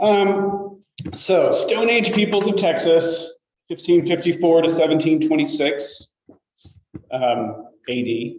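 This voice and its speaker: With music in the background and audible room echo, a man speaks loudly at a high pitch, very slowly, with lively intonation. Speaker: state archaeologist giving a talk. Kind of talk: lecture. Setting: lecture room with audience, also on video call.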